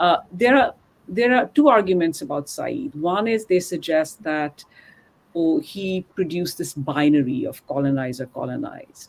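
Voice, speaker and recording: Intonation is lively and the pace is moderate. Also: woman. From India. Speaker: professor. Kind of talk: academic interview. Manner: hesitant, many fillers.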